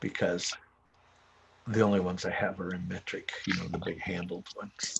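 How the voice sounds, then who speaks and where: The speech is broken by long, frequent pauses, with noticeable noise in the background. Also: man, moderate pace. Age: 60s. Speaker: dirt bike and paramotor hobbyist streamer. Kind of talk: casual chat. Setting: garage livestream.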